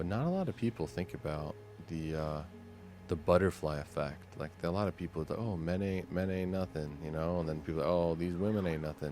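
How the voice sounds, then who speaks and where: A man talks at a fairly quick clip in a very deep, low pitch with ordinary pitch variation. Music plays in the background. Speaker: gaming content creator. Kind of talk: soft-spoken sleep gaming commentary. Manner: casual, chill.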